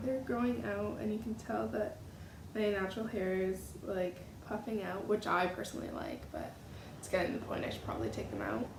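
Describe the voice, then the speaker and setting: Audible room echo and noticeable background noise surround a woman talking at a fairly quick pace. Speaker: beauty vlogger. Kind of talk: casual vlog talk.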